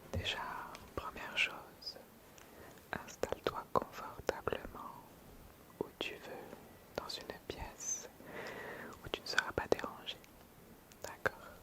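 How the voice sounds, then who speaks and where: The speaker whispers in a calm tone at a very slow pace, with long, frequent pauses. Background noise is noticeable. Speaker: ASMR creator. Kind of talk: ASMR roleplay, sleep instructions to camera. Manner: soft-spoken, calm, slow.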